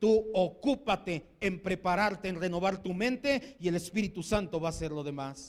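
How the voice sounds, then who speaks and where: A man is speaking. His pitch is high. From Mexico. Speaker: pastor. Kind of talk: sermon. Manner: animated.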